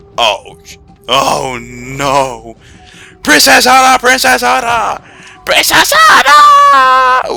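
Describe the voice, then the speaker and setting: Shouting in a put-on character voice, a man goes at a very slow pace with long, frequent pauses while faint music plays in the background. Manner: panicked, urgent.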